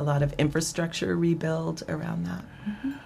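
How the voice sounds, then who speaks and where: With an American accent, a woman talks at a moderate pace in a very deep, low pitch, using ordinary pitch variation over noticeable background noise. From Ohio, Dayton area (Fairborn). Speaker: library director. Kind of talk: interview.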